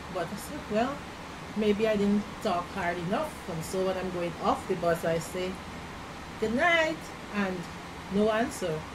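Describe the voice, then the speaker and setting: A woman with a Guyanese accent speaks at a fairly slow pace with lively intonation, amid audible room echo and noticeable background noise. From Guyana. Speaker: immigrant interviewee. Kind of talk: interview. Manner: halting.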